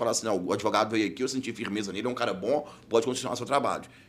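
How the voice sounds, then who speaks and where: In a very clean recording with a silent background, a man speaks with a bright, sharp tone. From Belo Horizonte, Minas Gerais, Brazil. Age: 30s. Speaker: criminal defense lawyer. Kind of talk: casual interview chat. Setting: studio.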